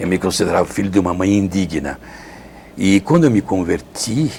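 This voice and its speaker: At a moderate pace, the speech comes through over noticeable background noise. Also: man. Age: 70s. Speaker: Franciscan friar, retreat preacher. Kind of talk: interview testimony. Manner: halting, self-correcting.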